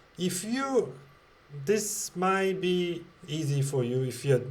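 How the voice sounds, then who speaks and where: Somewhat breathy delivery with lively intonation. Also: man. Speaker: tech educator. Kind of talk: tutorial. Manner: slow; halting, many fillers.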